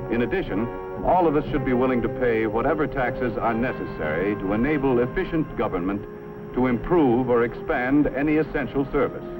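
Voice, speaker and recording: Over background music, a man talks at a fairly quick pace with lively intonation and very even loudness. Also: medium pitch for a man. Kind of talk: educational film narration.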